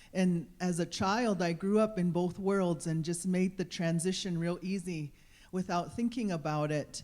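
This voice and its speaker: A woman's fairly low, dark and mellow voice with a Montana accent, fairly even intonation and a fairly slow pace, on a very clean recording with a silent background. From Crow Nation, Montana. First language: Crow. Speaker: audience member. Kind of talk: public comment.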